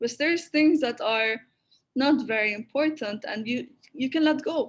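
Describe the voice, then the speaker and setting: Speaking with an Arabic accent, a woman uses a high pitch with ordinary pitch variation. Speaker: creative critique platform founder. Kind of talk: online talk Q&A. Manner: halting with frequent repetitions.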